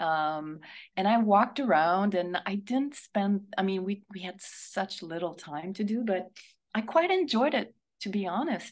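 A woman speaks in a Quebec French accent. Her pitch swings very widely. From Quebec, Montreal. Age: 50s. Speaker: actress. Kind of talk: radio interview.

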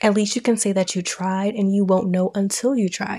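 A woman speaks at a moderate pace in a plain, everyday voice with medium pitch. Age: 20s. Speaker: podcast host. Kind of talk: casual monologue.

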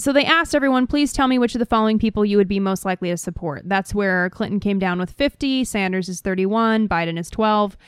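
A woman at medium pitch, very fast with hardly any pauses, lively in intonation, on a very clean recording with a silent background. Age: 20s. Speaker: podcast co-host. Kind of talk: reading aloud.

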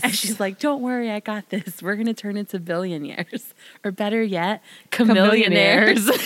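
Over noticeable background noise, a voice in a Southern Californian accent keeps a moderate pace and ordinary pitch variation. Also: woman, medium pitch for a woman. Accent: Valley Girl. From South Side of Chicago. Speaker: podcast co-host or guest.

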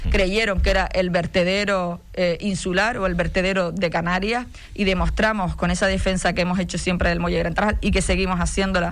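A woman talks at a fairly quick pace and medium pitch, with monotone, flat intonation, hardly any pauses, very even loudness and audible room echo. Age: 40s. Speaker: mayor and politician. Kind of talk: radio interview. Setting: radio studio.

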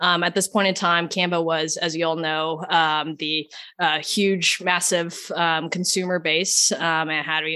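A woman speaks at a fairly slow pace with a fairly low pitch and a bright, sharp tone. Her intonation stays fairly even, in an American accent. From Oklahoma. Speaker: tech executive. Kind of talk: interview.

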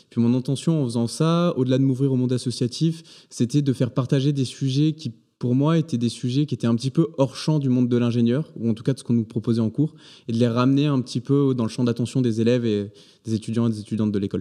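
A man with a dark, mellow tone talks very fast in fairly even intonation over a quiet background. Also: medium pitch for a man. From southern France, between Aix and Marseille. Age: 20s. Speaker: engineering student and change coach. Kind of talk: interview.

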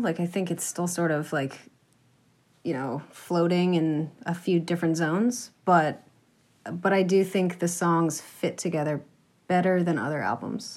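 Talking at a fairly slow pace, a woman with an American accent uses a normal speaking voice at a fairly low pitch, recorded very cleanly over a silent background. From Massachusetts, US. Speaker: folk musician, cellist and singer. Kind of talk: casual interview.

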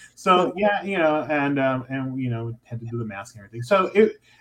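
With lively intonation, a man talks at a medium pitch. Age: 50s. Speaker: pride festival organizer. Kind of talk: casual chat. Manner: halting.

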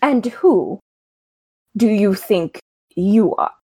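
This is a put-on character voice that sounds female. Its pitch sits fairly high for a woman. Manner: suspicious, challenging.

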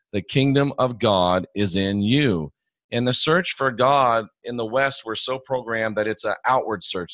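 An ordinary speaking voice moves at a moderate pace with ordinary pitch variation, recorded dry and close with no echo on a very clean recording with a silent background. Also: man. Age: 50s. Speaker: Bible scholar and former evangelist. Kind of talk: casual interview conversation.

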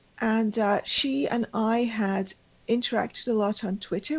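A woman's fairly high, somewhat breathy voice with ordinary pitch variation, very even loudness and a moderate pace. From Pakistan. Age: 50s. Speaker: magazine editor. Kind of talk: interview. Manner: halting.

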